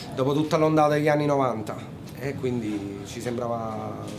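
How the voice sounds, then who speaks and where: Amid noticeable background noise and audible room echo, a man talks at a medium pitch and moderate pace. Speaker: musician. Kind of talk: interview.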